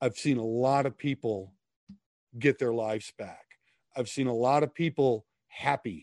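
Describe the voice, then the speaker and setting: Speaking in an Upper Midwest accent, a man uses a medium pitch with ordinary pitch variation at a moderate pace. He takes long, frequent pauses, in a dry, close sound with no echo. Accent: Upper Midwest American. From US Midwest (Minnesota). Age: 50s. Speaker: author and ministry leader. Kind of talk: casual interview chat.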